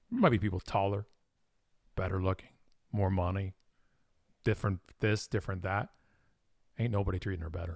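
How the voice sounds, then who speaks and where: A man with a very deep, low pitch speaks at a fairly quick pace in a Canadian accent, somewhat breathy, with fairly even intonation and long, frequent pauses. The recording is very clean, with a silent background. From Ontario, Canada (Toronto suburbs). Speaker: marketing company president, speaker. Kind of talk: interview conversation.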